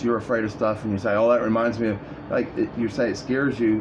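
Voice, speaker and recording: At a very fast pace, a man with a fairly low pitch and fairly even intonation speaks through noticeable background noise and audible room echo. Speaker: video blogger. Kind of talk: casual monologue. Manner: rambling, halting.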